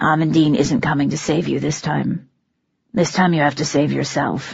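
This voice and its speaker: A raspy put-on character voice at low-to-middle pitch and moderate pace. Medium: read story. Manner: calm, commanding, practical.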